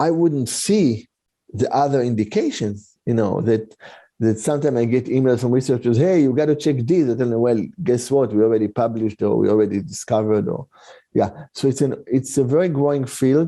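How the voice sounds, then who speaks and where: Using a dark, mellow tone, a man talks at a fairly quick pace and medium pitch, with ordinary pitch variation and very even loudness. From Israel. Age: 60s. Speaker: integrative medicine doctor. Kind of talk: podcast interview. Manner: halting, many fillers and restarts.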